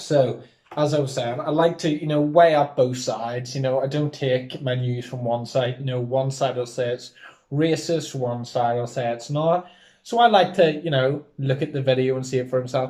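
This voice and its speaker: A man talks at a moderate pace with a medium pitch and fairly even intonation. His tone is dark and mellow, and somewhat breathy. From Northern Ireland. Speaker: podcast host. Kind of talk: casual chat.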